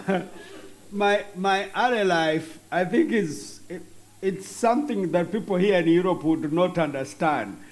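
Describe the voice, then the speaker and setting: A man talks at a fairly slow pace in a high pitch with ordinary pitch variation. Audible room echo is present. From Western Uganda. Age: 50s. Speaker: bishop. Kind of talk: interview.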